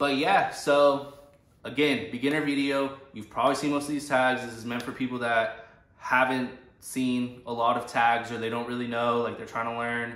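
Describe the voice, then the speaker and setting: With monotone, flat intonation, a man of medium pitch speaks at a moderate pace amid audible room echo. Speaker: vintage clothing reseller / thrift vlogger. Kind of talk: casual unscripted tutorial. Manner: rambling filler-heavy speech.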